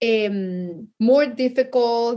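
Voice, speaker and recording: A woman speaks with a Mexican accent at a high pitch. Her pitch varies in an ordinary way against a quiet background. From Mexico City, Mexico. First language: Spanish. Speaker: chef and cookbook author. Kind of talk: interview.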